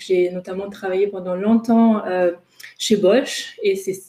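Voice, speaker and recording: Her medium-pitched voice keeps fairly even intonation as this woman talks at a moderate pace. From Germany, Ruhr region. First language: German (speaking French). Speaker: intercultural trainer and coach. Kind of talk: webinar presentation. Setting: online webinar. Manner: hesitant, many fillers.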